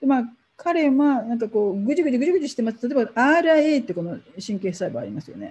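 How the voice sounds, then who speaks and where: A woman with a dark, mellow tone speaks at a moderate pace, her pitch swinging very widely. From Japan. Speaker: professor. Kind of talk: lecture. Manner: halting.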